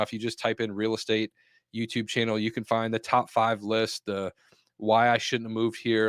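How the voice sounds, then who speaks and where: The sound is dry and close with no echo as a man talks at a fairly quick pace and a medium pitch. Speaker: marketing coach for real estate agents. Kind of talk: live webinar tutorial. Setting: live online call. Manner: fast.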